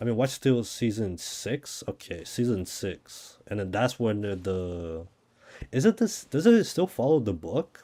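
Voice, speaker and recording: A dark, mellow voice at a fairly slow pace, on a very clean recording with a silent background. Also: man, medium pitch for a man, lively intonation. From Brazil. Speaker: gaming streamer. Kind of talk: live gameplay stream chat.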